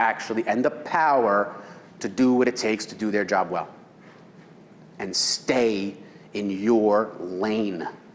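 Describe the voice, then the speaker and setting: A man talks at a fairly slow pace. There is audible echo from the room. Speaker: real estate seminar presenter. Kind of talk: seminar lecture.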